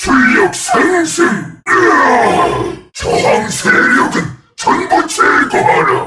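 A man puts on a character voice pitched extremely high, with a menacing tone. He speaks at a very slow pace. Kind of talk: video game character voice lines. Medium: dub. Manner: menacing, commanding.

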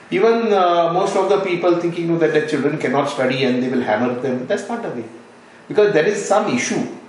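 A man talks at a very fast clip in a high voice, with light noise behind him and audible echo in the room. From Goa, India. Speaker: NGO founder, retired sea captain. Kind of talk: interview. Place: home room.

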